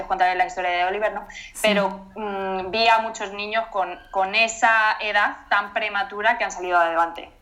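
With a bright, sharp tone and fairly even intonation, a woman of medium pitch speaks at a moderate pace. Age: 20s. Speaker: mother sharing pregnancy loss story. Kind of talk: testimony interview.

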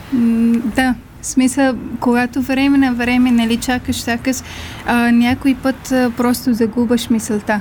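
With noticeable background noise behind her, a woman speaks at a fairly slow pace in a high voice, her intonation monotone and flat and her loudness very even. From Afghanistan. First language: not Bulgarian (Afghan language) (speaking Bulgarian). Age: 20s. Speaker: refugee, small business owner. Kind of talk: interview. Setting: studio.

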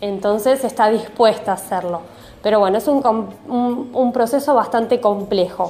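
At a fairly slow pace, a woman with a fairly high pitch speaks in a plain, everyday voice, with ordinary pitch variation. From Argentina, Mar del Plata (Buenos Aires province). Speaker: numerologist and Reiki teacher. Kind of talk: interview answers.

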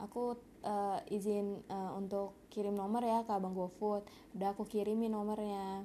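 A dark, mellow, nasal tone. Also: woman.

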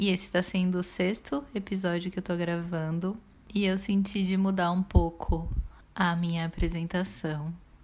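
Speaking in a Brazilian accent, a woman uses a medium pitch and a calm tone at a moderate pace, her intonation monotone and flat. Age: 30s. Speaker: podcast host, therapist. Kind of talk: reflective solo monologue.

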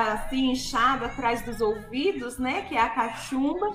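With audible room echo and noticeable noise behind her, a woman talks at a high pitch. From interior of São Paulo state, Brazil. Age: 40s. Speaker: gospel singer. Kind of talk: radio interview, testimony.

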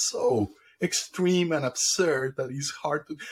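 Speaking with a Spanish accent, this man's voice sits fairly high in pitch. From Colombia. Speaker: AI computer scientist. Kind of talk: interview conversation.

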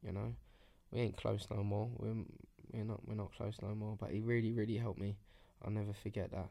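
A man with a dark, mellow tone talks at a fairly quick pace in a flat monotone, broken by long, frequent pauses. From southeast London outskirts. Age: 30s. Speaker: entrepreneur. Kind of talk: casual interview, life story.

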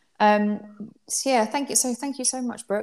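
The pace here is fairly quick. A woman talks with an English accent. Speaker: podcast host. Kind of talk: casual interview.

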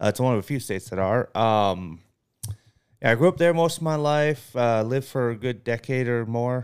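A man with an American accent and an unremarkable speaking voice talks at a moderate pace, his medium pitch showing ordinary variation, on a very clean recording with a silent background. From Massachusetts. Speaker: podcast co-host. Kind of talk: casual chat.

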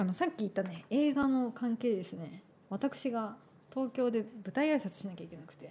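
A woman with a plain, everyday voice and fairly high pitch talks at a moderate pace, her intonation lively and her loudness swinging widely. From Tokyo. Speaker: radio host and artist. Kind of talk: scripted narration; casual chat. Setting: studio.

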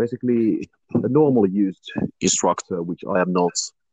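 A man with a slight Finnish accent, a fairly low pitch and a moderate pace, in a dry, close sound with no echo. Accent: Finnish, slight; near-native English. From Finland. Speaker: youth instructor. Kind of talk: interview. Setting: online video interview.

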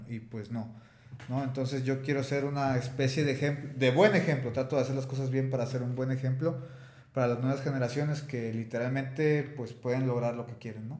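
With fairly even intonation and a medium pitch, a man talks in a Mexican accent amid audible room echo. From Mexico, Tepic. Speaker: mixed martial arts fighter. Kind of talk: interview.

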